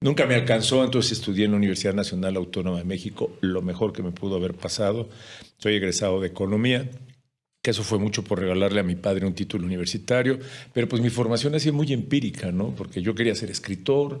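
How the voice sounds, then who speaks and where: A man talks at a very fast pace. His fairly low pitch shows ordinary pitch variation. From Mexico. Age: 60s. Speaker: journalist and speaker. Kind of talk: podcast interview.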